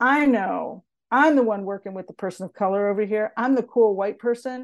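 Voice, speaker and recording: Using a normal speaking voice, a woman talks at a moderate pace with a fairly high pitch and ordinary pitch variation against a quiet background. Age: 60s. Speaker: diversity and inclusion consultant. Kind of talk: interview.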